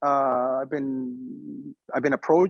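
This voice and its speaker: A man with a Mexican accent speaks in a fairly high voice with fairly even intonation, the sound dry and close with no echo. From northern Mexico, raised in Arizona. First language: Spanish. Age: 40s. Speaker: media executive, former news anchor. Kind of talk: interview. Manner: halting, many fillers and repetitions.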